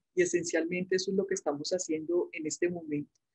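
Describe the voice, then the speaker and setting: A woman is speaking. She has a Medellín accent. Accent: Medellín paisa, persisted. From Colombia, Medellín (paisa). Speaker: medical school professor. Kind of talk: interview. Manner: chatty.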